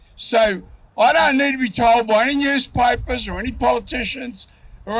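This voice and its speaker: The speech comes at a moderate pace in an Australian accent. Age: 70s. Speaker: elderly resident, victim of crime. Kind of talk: rally interview.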